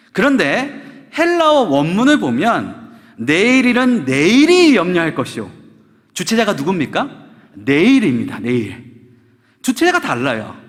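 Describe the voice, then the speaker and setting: A man's high voice with very wide pitch swings, at a fairly slow pace, in audible room echo. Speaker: pastor. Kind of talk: sermon.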